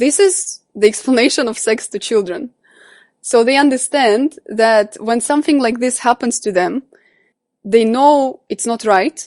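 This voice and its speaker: A woman with a Russian accent, high-pitched with lively intonation, at a fairly slow pace, in a dry, close sound with no echo and a quiet background. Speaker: coach and psychology student. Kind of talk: interview.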